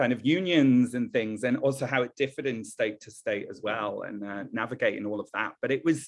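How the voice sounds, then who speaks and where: This man talks at a fairly quick pace with hardly any pauses, his pitch medium and its variation ordinary. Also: big swings in loudness. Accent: American. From northern England. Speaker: event professional. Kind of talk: podcast interview. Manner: rising intonation at sentence ends; hesitant fillers.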